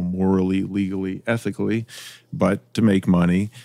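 In a very clean recording with a silent background, a man with a very deep, low pitch talks in a monotone, flat intonation. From Iowa. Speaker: school board president and entrepreneur. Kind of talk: casual interview.

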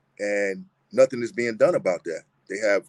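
A man is speaking at a moderate pace. His voice sits at a medium pitch. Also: dry, close sound with no echo. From Long Island, New York. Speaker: exoneree. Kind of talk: testimony.

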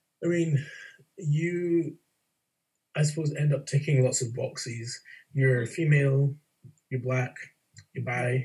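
Speaking with a Scottish accent, a man talks fairly slowly and somewhat breathily, with fairly even intonation and long, frequent pauses. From Scotland. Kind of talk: casual interview conversation.

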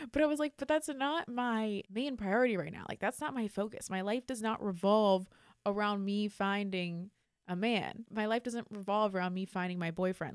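Lively in intonation, a woman speaks at a medium pitch and a moderate pace. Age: 20s. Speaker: podcast host. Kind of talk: casual chat. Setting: studio. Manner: animated.

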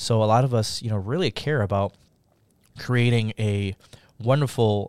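A man with an American accent speaks at a moderate pace in a fairly low voice, clear and smooth with a slightly mellow tone. His pitch varies in an ordinary way, and the recording is very clean with a silent background.

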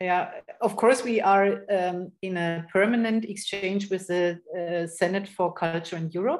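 A woman with an unremarkable speaking voice, medium pitch and a fairly slow pace. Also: fairly even intonation. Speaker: project space runner and architect. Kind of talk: interview.

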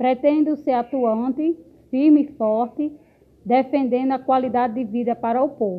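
Her voice has a high pitch with ordinary pitch variation, as this woman speaks. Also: moderate pace. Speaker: local political candidate. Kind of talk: campaign self-introduction.

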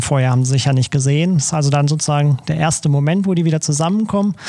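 Against noticeable background noise, a man with a fairly high pitch talks at a very fast pace with fairly even intonation. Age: 30s. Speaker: photographer. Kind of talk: podcast interview.

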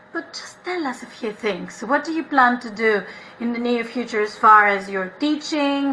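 Over noticeable background noise, a woman speaks in a raised, projected voice with lively intonation at a fairly slow pace. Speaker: podcast host. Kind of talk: casual interview chat.

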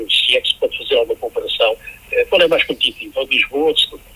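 A man talks at a fairly quick clip. Noticeable noise can be heard in the background. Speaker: radio sports commentator. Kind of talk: radio sports analysis. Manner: hesitant, with fillers.

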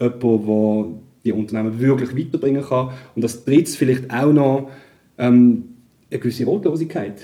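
A man's medium-pitched, dark, mellow voice at a moderate pace, with ordinary pitch variation and long, frequent pauses. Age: 40s. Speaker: digital journalist and DJ. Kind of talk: casual interview.

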